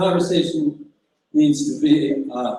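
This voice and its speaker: Here a man speaks with a fairly high pitch and ordinary pitch variation. His pace is fairly slow. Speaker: singer-songwriter and activist. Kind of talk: political speech and song introduction on stage. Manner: loud.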